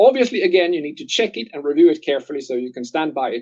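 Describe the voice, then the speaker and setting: A man's dark, mellow voice with a non-native accent and lively intonation. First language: not English. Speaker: medical device expert. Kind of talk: webinar Q&A.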